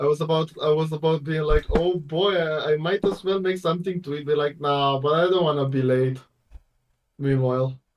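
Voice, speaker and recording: At a moderate pace and a fairly high pitch, a man talks in a plain, everyday voice. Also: fairly even intonation. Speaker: streamer.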